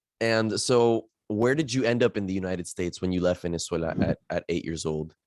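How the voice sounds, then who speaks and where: Talking at a fairly quick pace, a man with an American accent has a plain, everyday voice and a fairly low pitch with ordinary pitch variation. The sound is dry and close, with no echo. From Miami, US. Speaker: podcast host. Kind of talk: podcast interview.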